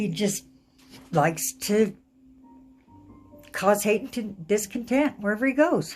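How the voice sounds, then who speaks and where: A woman speaks at a very slow pace and medium pitch. Music plays in the background. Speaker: tarot card reader. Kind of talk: casual talk to camera. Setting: living room at home.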